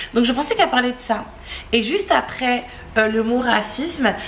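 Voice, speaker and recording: Against noticeable background noise, a woman speaks in an animated tone at a moderate pace. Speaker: family vlogger. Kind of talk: casual chat to camera.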